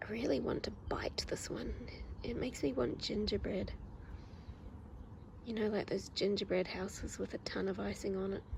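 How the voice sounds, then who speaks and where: A woman whispers with a New Zealand accent. She leaves long, frequent pauses. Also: moderate pace. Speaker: ASMR creator. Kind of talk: ASMR casual talk. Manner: soft-spoken.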